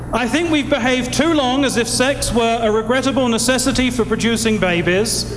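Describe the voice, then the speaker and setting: A man speaks at an extremely high pitch with ordinary pitch variation and very even loudness, at a fairly quick pace with hardly any pauses. Noticeable background noise and audible room echo are present. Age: 40s. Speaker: priest. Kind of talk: speech at benefit concert. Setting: stage with audience.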